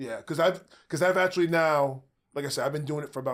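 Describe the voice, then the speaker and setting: An ordinary speaking voice from a man, fairly high in pitch and fairly quick, on a very clean recording with a silent background. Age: 60s. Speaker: jiu-jitsu practitioner. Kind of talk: podcast interview.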